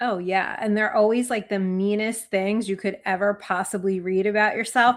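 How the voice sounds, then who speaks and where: A woman with an American accent speaks at a moderate pace in a monotone, flat way. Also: medium pitch for a woman, very clean recording, silent background. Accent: New Jersey accent, remarked on by a commenter. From New Jersey. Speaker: sports podcast co-host. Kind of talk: casual chat.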